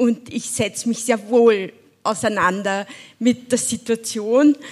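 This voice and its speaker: A woman with a fairly high pitch, talking at a very slow pace. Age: 70s. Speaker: single mother and poverty activist. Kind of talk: panel discussion. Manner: animated.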